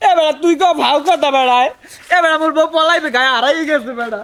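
A put-on character voice runs high in pitch and whiny. It moves at a fairly quick pace. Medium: comedy sketch. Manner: whining, tearful.

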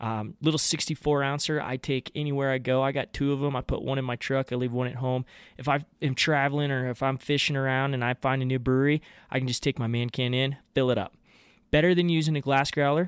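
A man talks very fast in a monotone, flat delivery. The sound is dry with no echo, over a quiet background. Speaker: podcast host. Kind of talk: sponsor ad read. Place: kitchen.

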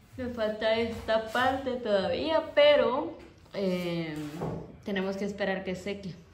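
A woman at a very slow pace and fairly high pitch, with audible room echo. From outside this area. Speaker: vlogger. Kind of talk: casual chat. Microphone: phone near.

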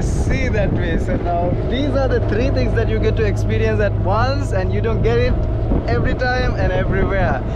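A man at a moderate pace, the sound dry with no echo, loud background noise behind him. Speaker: travel vlogger. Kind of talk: casual vlog chat. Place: boat. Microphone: phone near.

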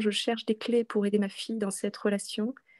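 A woman's dark, mellow tone in monotone, flat intonation, set against a quiet background. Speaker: qigong practitioner. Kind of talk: testimony. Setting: video call. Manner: halting. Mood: moved, grateful. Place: home room. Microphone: video call.

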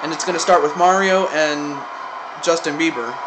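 Noticeable background noise accompanies a man speaking at a moderate pace with ordinary pitch variation. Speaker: amateur game commentator. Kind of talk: commentary. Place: home room. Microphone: phone near.

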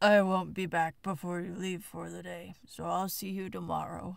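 Using a put-on character voice, a woman speaks with big swings in loudness. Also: moderate pace.

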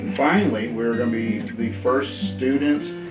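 A man's voice with ordinary pitch variation and clear music in the background. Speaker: shop teacher. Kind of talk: interview answer. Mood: proud, enthusiastic. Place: workshop.

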